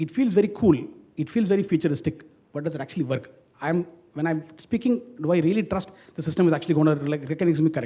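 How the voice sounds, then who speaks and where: Very fast speech comes in a dark, mellow tone with ordinary pitch variation. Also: man, fairly high pitch for a man. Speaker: startup founder on a panel. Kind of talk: panel discussion.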